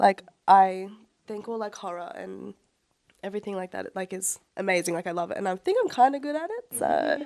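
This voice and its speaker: Talking at a fairly quick pace, a woman with an Australian accent shows big swings in loudness. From Australia, Brisbane. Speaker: makeup artist. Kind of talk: casual chat. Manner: hesitant, many fillers.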